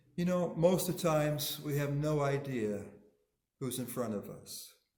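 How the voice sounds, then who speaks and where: Somewhat breathy and fairly high-pitched, a man talks at a moderate pace with ordinary pitch variation as the room echo is audible. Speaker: minister. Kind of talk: sermon.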